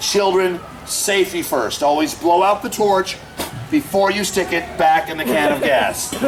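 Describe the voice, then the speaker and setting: An animated man with a high voice and ordinary pitch variation, fairly slow, with noticeable background noise and audible room echo. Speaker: street performer, fire act comedian. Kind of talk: live comedy show with audience. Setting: outdoors at a festival with audience.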